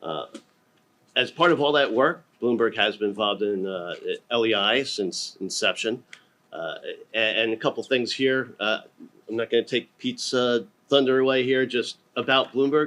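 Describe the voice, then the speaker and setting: Loud and with a bright, sharp tone, a man talks at a moderate pace broken by long, frequent pauses. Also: medium pitch for a man, ordinary pitch variation. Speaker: panelist, data standards strategist. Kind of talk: conference panel presentation.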